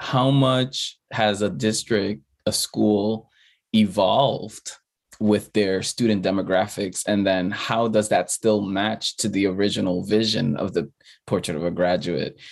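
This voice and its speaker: A man with an American accent and a normal speaking voice, fairly low in pitch and fairly slow, against a quiet background. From the Bronx, New York. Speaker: former school principal, nonprofit leader. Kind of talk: casual chat.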